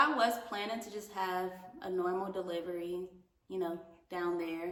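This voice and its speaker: Noticeable background noise and audible room echo surround a woman speaking at a moderate pace and medium pitch. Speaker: vlogger. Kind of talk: casual chat. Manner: casual, filler-heavy.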